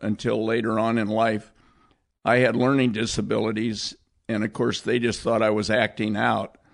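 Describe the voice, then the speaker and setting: A man with an American accent speaks at medium pitch with vocal fry and fairly even intonation. The background is quiet. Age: 70s. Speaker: cinematographer. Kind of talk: casual chat.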